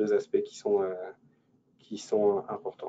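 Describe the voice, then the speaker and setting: A man talks at a moderate pace. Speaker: innovation investment advisor. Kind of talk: webinar presentation. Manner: halting, many fillers and repetitions.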